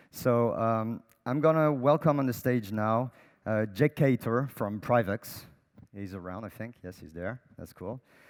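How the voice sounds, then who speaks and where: Speaking with a French accent at a fairly slow pace, a man uses a medium pitch with ordinary pitch variation on a very clean recording with a silent background. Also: big swings in loudness. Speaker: panel moderator. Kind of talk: panel moderation. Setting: stage with audience.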